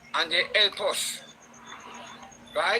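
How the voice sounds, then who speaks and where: The voice has a Jamaican accent and a very slow pace. Noticeable background noise is present. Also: man. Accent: Jamaican Patois-inflected English. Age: 60s. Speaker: live stream participant. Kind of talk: heated debate. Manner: animated.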